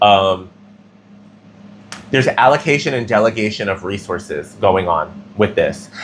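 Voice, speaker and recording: A man speaks fairly slowly at a fairly low pitch, with long, frequent pauses. His pitch variation is ordinary. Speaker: tarot reader. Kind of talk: tarot reading.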